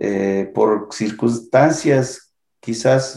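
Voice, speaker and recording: Speaking with fairly even intonation, a man has a dark, mellow tone. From Michoacán, Mexico (P'urhépecha community). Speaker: artist and writer. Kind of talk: interview. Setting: online recording.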